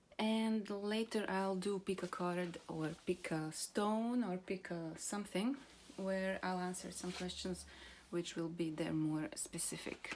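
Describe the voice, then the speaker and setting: A woman speaks with a Slavic accent. Her pace is fairly slow. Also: medium pitch for a woman, ordinary pitch variation. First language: Croatian. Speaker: card reader, channel owner. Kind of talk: casual tarot-style card reading to camera. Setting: outdoors in a garden. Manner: hesitant, many fillers.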